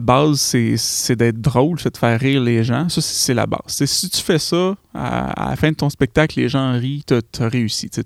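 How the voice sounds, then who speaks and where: A man talks at a moderate pace and a medium pitch. The sound is dry and close, with no echo. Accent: Quebec. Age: 30s. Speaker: podcaster. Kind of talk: solo podcast monologue. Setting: home studio. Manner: hesitant, many fillers.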